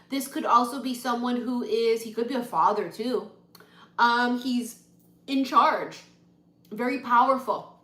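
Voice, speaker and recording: Loud and animated, a woman with a high pitch speaks at a fairly slow pace with long, frequent pauses and audible room echo. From Hawaii. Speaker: tarot reader. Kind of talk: live-stream tarot reading.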